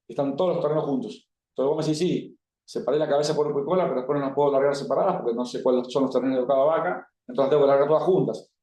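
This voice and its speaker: A man speaks at a very fast pace in a fairly high voice. His tone is dark and mellow, with ordinary pitch variation. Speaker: cattle breeding expert speaker. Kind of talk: talk to livestock expo audience. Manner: casual, colloquial.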